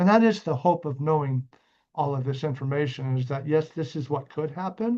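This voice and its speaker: Somewhat breathy speech at a moderate pace, with ordinary pitch variation, is set against a quiet background. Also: man. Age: 50s. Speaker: executive director and trainer. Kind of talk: training lecture. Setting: recorded training video.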